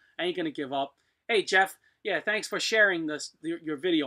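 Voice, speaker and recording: Over a silent background in a very clean recording, a man with an American accent speaks at a fairly quick pace in a bright, sharp tone. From US East. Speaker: blacksmith. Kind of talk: live stream chat. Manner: casual, rambling with fillers.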